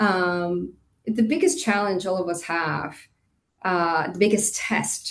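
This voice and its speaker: With vocal fry, a woman talks at a medium pitch. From Costa Rica, moved to Indiana at 13. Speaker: hotel industry executive. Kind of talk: interview.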